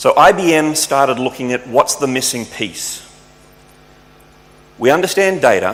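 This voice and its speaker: With an Australian accent and a fairly high pitch, a man speaks with lively intonation and long, frequent pauses over noticeable background noise. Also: moderate pace. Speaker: tech company speaker. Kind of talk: conference talk.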